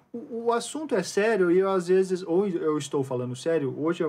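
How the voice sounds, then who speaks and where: Pitch swings very widely as this man talks. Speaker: podcast co-host. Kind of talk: casual chat. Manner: fast.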